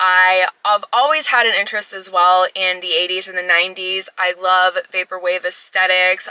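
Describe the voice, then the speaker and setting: Noticeable background noise runs under a woman's voice. She speaks at a medium pitch and a fairly quick pace. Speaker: retro tech YouTuber. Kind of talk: casual vlog talk to camera. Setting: in a car in a parking garage. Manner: loud.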